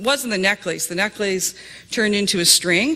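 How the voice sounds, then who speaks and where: Woman at a medium pitch with lively intonation, amid noticeable background noise. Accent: Canadian. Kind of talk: testimony. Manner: hesitant, many fillers.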